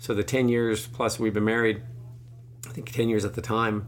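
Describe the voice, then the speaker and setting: A man is speaking. The room echo is audible. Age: 40s. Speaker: podcast host, cancer patient. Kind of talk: casual interview, personal testimony.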